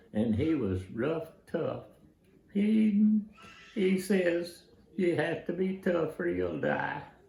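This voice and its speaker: A high-pitched man with an American accent at a very slow pace, with long, frequent pauses, audible room echo and noticeable background noise. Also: lively intonation. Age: 90s. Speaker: war veteran. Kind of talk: personal testimony / recollection. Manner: halting, many fillers and restarts.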